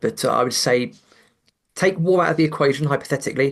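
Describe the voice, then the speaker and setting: A man speaks at a very fast pace with a British accent. His pitch varies in an ordinary way. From England. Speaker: investment commentator. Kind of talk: podcast interview. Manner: halting, repeated words.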